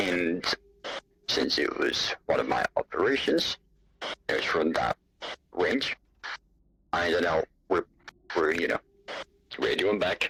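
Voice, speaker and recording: A man speaks in a put-on character voice. His pace is fairly slow, broken by long, frequent pauses. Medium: machinima. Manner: curt, tired.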